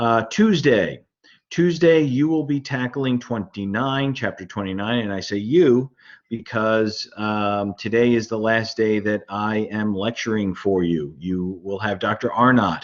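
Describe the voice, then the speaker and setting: A man at a medium pitch, fairly slow pace, ordinary pitch variation. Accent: Brooklyn. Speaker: university lecturer. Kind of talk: lecture. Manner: halting, many fillers.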